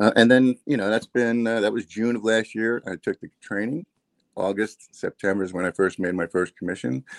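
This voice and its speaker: In an American accent, a man with an unremarkable speaking voice talks at a fairly quick pace, the sound dry and close with no echo. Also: fairly low pitch for a man, ordinary pitch variation. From New Jersey. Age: 50s. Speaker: online business owner. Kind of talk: interview. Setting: live video stream.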